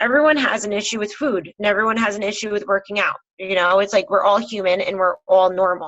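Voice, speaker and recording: The delivery comes at a very fast pace. Pitch varies in an ordinary way. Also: woman, medium pitch for a woman. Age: 30s. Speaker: health and fitness coach. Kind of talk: casual chat.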